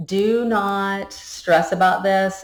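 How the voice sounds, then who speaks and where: The tone is energetic. Room echo is audible. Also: woman. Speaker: public speaking instructor. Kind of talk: recorded course lecture. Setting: recorded video to camera. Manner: energetic, jumps between topics.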